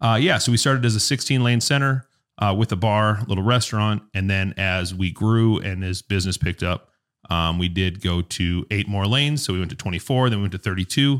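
At a fairly quick pace, a man with an American accent talks at a fairly low pitch with ordinary pitch variation, the sound dry and close with no echo and the recording very clean over a silent background. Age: 30s. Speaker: bowling alley worker in family business. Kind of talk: casual interview. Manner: hesitant, many fillers.

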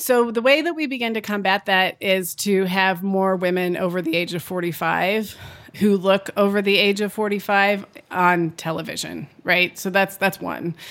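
With an unremarkable speaking voice, a woman talks at a moderate pace and medium pitch, using ordinary pitch variation. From California (Napa Valley). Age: 40s. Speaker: gender economist and company founder. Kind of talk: interview.

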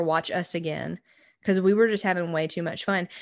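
Against a quiet background, a woman with a plain, everyday voice speaks at a fairly low pitch with fairly even intonation. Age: 20s. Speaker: podcast co-host. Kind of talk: casual chat.

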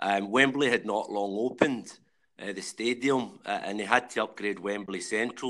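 A man speaks with a Glaswegian accent. His fairly low voice keeps a fairly even intonation. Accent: Glaswegian Scottish. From Glasgow, Scotland (Rutherglen). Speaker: civil engineer and pop-up whisky bar owner. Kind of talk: casual interview.

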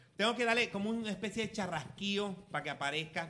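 A man speaks with a bright, sharp tone. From Venezuela, Falcón. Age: 40s. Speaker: podcast host, former radio presenter. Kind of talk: casual chat over drinks. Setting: home. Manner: animated.

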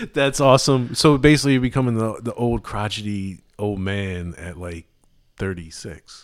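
Lively intonation colors this man's fairly low voice, a plain, everyday voice. The recording is very clean, with a silent background. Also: moderate pace, big swings in loudness. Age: 30s. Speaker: returning podcast guest, friend of host. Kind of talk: casual chat.

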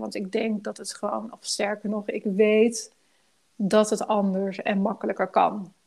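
On a very clean recording with a silent background, a woman with a normal speaking voice talks at a fairly slow pace and medium pitch. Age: 40s. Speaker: life coach. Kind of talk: casual interview.

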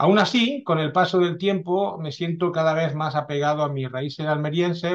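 A man with a plain, everyday voice at a fairly high pitch with ordinary pitch variation, at a moderate pace on a very clean recording with a silent background. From France, then Catalonia from age 14. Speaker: historical novelist. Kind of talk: interview.

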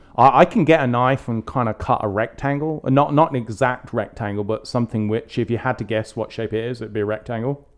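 A man with an English accent speaks at a very fast pace, hardly pausing, against a quiet background. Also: medium pitch for a man, ordinary pitch variation. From England. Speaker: podcast co-host. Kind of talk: casual chat.

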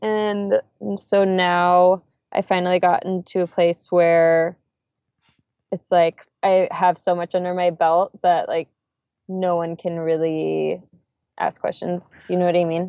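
A woman speaks very slowly at a fairly low pitch, her tone dark and mellow. Her intonation is flat and monotone, and the sound is dry and close with no echo. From California. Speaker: social media marketer and blogger. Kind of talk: interview.

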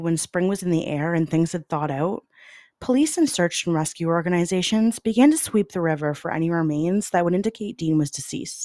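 A woman with a Canadian accent and an ordinary speaking voice talks at a fairly quick pace, her fairly low pitch carrying lively intonation, in a dry, close sound with no echo. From Canada (London, Ontario). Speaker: true crime podcast host. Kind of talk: scripted narration.

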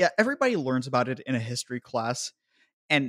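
An American-accented man speaks at a fairly quick pace in an ordinary speaking voice. His medium pitch shows ordinary variation, and the sound is dry and close with no echo, very clean against a silent background. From United States. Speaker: podcast host. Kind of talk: casual chat.

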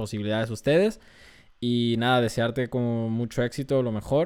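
This man talks with a Mexican accent at a medium pitch. His pace is moderate and his intonation fairly even. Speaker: podcast host. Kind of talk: casual interview.

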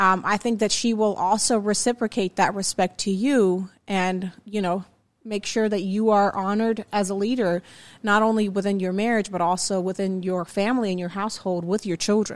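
The intonation stays monotone and flat, captured in a very clean recording with a silent background. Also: woman, medium pitch for a woman, moderate pace. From abroad, different culture. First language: not English. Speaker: marriage podcast co-host. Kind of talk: casual chat.

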